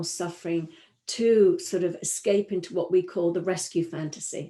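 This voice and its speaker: A woman talks with a British accent at a moderate pace. Her tone is dark and mellow. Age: 60s. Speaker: three principles practitioner. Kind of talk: webinar talk. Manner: hesitant, many fillers and repetitions.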